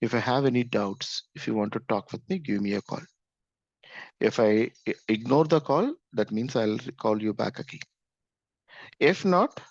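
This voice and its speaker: A man with an Indian accent talks at a moderate pace, his intonation lively. The sound is dry and close with no echo, over a quiet background. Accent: Indian English (Telugu). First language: Telugu. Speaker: programming instructor. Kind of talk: course orientation talk. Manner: repetitive, halting with fillers.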